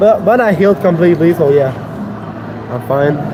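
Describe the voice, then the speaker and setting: A man with a Quebec accent talks at a fairly slow pace and high pitch, with ordinary pitch variation. Noticeable background noise and audible room echo surround him. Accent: Québécois French accent in English. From Quebec City, Canada. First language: French. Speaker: fitness livestreamer. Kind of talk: casual live-stream chat during workout. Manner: loud; halting, repeats words.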